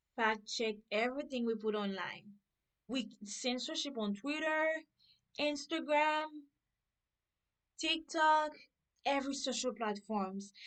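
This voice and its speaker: A high-pitched woman with a non-native accent and lively intonation, very slow pace, long and frequent pauses. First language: not English. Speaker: political reaction vlogger. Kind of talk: reaction video commentary.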